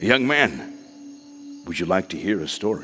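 A man speaks at a moderate pace in a put-on character voice, fairly low and rumbling. Background noise is clearly audible.

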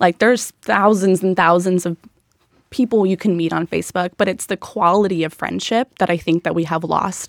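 A woman with an American accent speaks in an unremarkable speaking voice at medium pitch, with fairly even intonation and a moderate pace, in a dry, close sound with no echo. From Southern California. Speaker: social group founder. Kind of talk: casual chat.

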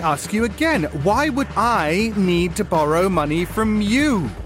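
Noticeable background noise sits behind a man with a British accent. His high-pitched voice takes on a theatrical tone with very wide pitch swings. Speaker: podcast co-host reading an ad. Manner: theatrical, mock-indignant.

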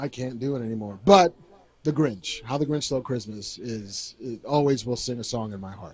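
Somewhat breathy, a man at medium pitch talks at a moderate pace with lively intonation and big swings in loudness. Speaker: podcast co-host. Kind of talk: live podcast chat. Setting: stage with audience.

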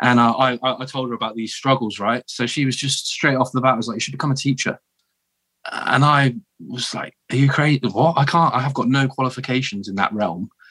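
This man has a southern English accent. His tone is bright and sharp. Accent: posh southern English, likened to royalty. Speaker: military veteran turned teacher. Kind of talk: casual interview chat. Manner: halting, with repeated false starts.

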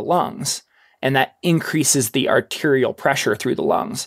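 Speaking at a moderate pace, a man uses an ordinary speaking voice at a medium pitch. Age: 30s. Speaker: ultrarunner and mountain adventurer. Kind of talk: casual interview.

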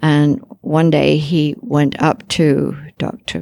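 This woman's voice sits very deep and low, with vocal fry running through it. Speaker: pediatric surgeon. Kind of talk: panel discussion.

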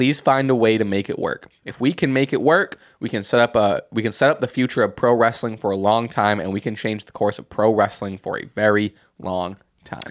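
The speaker has a plain, everyday voice with ordinary pitch variation and a fairly quick pace. The recording is very clean, with a silent background. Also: man, medium pitch for a man. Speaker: podcast host. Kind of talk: casual chat.

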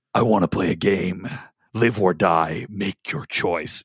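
Putting on a character voice, a man speaks at a fairly slow pace in a raspy, very deep, low pitch. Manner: menacing.

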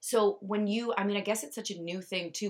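A woman with an ordinary speaking voice talks at a moderate pace with fairly even intonation. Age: 30s. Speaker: podcast host. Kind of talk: casual interview.

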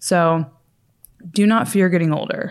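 On a very clean recording with a silent background, a woman speaks at a fairly slow pace. Her clear, smooth tone sits at a fairly low pitch with ordinary pitch variation.

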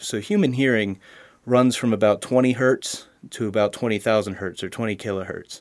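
On a very clean recording with a silent background, a man with an American accent uses an ordinary speaking voice at medium pitch, with fairly even intonation and a moderate pace. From Pennsylvania, Harrisburg. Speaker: college student and audio engineer. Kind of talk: interview.

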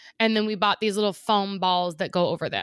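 The intonation is fairly even, and the recording is very clean with a silent background. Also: woman. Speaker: podcast co-host. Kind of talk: casual chat. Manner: fast.

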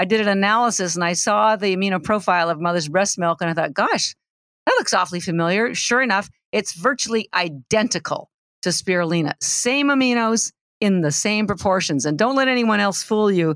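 Her voice is plain and everyday, and a woman talks at a fairly quick pace with lively intonation and very even loudness. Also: medium pitch for a woman. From Canada. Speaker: nutrition entrepreneur, algae expert. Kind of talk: interview.

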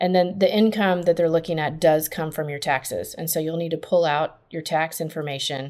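A woman's unremarkable speaking voice, fairly low in pitch, at a fairly quick pace with hardly any pauses and fairly even intonation, on a very clean recording with a silent background. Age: 40s. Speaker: college financial aid consultant. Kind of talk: casual interview.

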